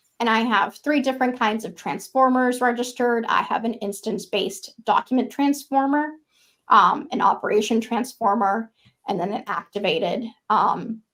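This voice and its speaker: A woman with an ordinary speaking voice, fairly high in pitch, talks at a moderate pace with ordinary pitch variation. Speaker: software engineer presenting a framework feature. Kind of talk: technical presentation with live demo.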